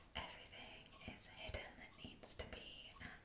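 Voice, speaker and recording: Whispering, a woman is heard over noticeable background noise. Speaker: ASMR creator and musician (bassoonist). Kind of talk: whispered ASMR tour of musical instruments. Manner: whispered, soft-spoken.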